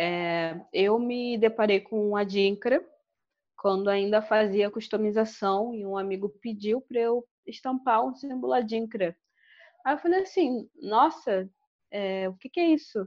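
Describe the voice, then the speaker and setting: At a fairly slow pace, a woman with an unremarkable speaking voice talks at a fairly high pitch. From Angola. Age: 20s. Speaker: fashion designer and researcher. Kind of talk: podcast interview.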